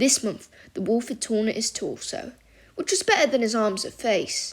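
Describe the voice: Plain reading aloud comes with ordinary pitch variation.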